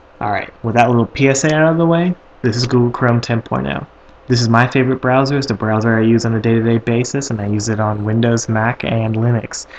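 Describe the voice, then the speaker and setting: With ordinary pitch variation, the man talks at a fairly quick pace as noticeable background noise carries on. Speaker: student tech segment host. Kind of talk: tech tutorial. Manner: fast; casual, filler-heavy.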